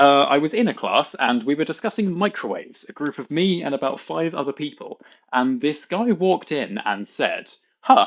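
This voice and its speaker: Speaking with a British accent at a moderate pace, a man uses a fairly high pitch that swings very widely. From UK. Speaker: content creator. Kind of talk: reading aloud.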